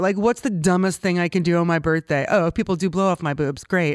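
Here a woman uses an unremarkable speaking voice with ordinary pitch variation. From US West Coast, Los Angeles. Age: 40s. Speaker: filmmaker and director. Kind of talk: casual interview. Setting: studio.

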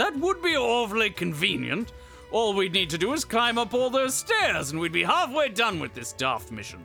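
Clear music plays in the background as a man in a put-on character voice speaks at a moderate pace. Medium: actual play. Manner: jaunty, chatty.

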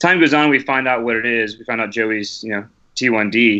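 Here a man speaks at medium pitch with ordinary pitch variation and a bright, sharp tone. The background is quiet. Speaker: long-distance hiker. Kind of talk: podcast interview.

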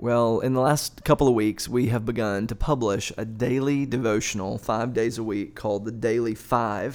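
In a plain, everyday voice, a man talks at a moderate pace. His pitch sits at a medium level and varies in an ordinary way. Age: 40s. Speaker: pastor on church podcast. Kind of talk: casual discussion.

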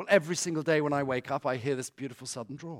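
A man with a British accent talks at a very fast pace. The recording is very clean, with a silent background. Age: 40s. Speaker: author and guest speaker. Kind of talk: talk to a church congregation. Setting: church.

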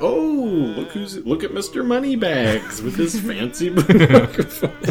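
A put-on character voice at middle pitch and a fairly slow pace, with clear background noise. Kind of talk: sarcastic. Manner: mocking.

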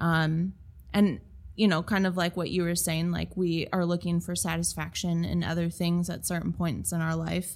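A woman's fairly low-pitched voice with an American accent, flat and monotone, at a moderate pace. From Minnesota. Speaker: creative studio owner and designer. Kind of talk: interview conversation.

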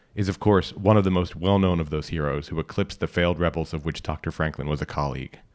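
A man with a very deep, low voice and vocal fry speaks in a dramatic tone at a fairly quick pace, with ordinary pitch variation on a very clean recording against a silent background. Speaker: podcast reader and narrator. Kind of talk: literary audiobook reading, scripted fiction narration. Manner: measured, formal, dramatic storyteller's cadence.

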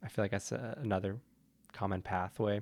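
Over a very clean recording with a silent background, a man with an ordinary speaking voice talks at a fairly quick pace, fairly low in pitch, with fairly even intonation. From Montreal, Canada. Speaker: Steadicam operator and cinematographer. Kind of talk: casual interview.

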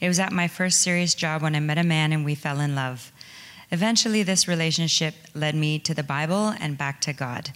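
With a Canadian accent, a woman speaks at a fairly quick pace, her very deep, low pitch showing ordinary variation. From southwestern Ontario, Canada. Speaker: recovery program participant. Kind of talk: testimony. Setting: church.

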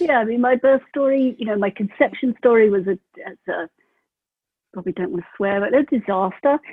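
A woman with a British accent speaks at a fairly quick pace, her fairly high pitch carrying lively intonation. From UK. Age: 40s. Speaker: mother sharing birth story. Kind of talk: interview. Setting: remote call.

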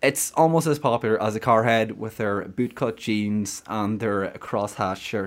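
A man's medium-pitched voice in a Donegal accent, at a fairly slow pace with hardly any pauses and ordinary pitch variation. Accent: Donegal Irish. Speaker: podcast host. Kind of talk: casual chat.

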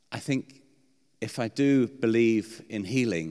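A man with a British accent speaks at a very slow pace with ordinary pitch variation. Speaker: preacher. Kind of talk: sermon. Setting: church. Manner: halting, hesitant.

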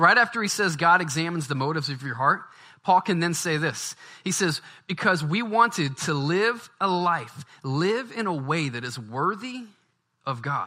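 A man's high-pitched voice, bright and sharp in tone, with lively intonation, on a very clean recording with a silent background. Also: moderate pace. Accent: Louisiana. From US South, Baton Rouge, Louisiana. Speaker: pastor. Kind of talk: sermon.

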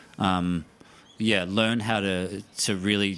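With an Australian accent, a man speaks at a very deep, low pitch in a monotone, flat delivery. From South Australia, Mount Gambier. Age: 30s. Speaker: actor. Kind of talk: casual chat.

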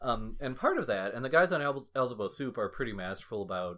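A man's normal speaking voice at medium pitch, fairly quick and lively in intonation, in a very clean recording with a silent background. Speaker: podcast co-host. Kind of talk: casual chat.

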